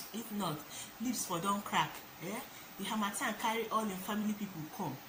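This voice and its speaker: There is noticeable background noise behind this woman. She speaks at a moderate pace with a medium pitch. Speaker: vlogger. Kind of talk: casual talk to camera.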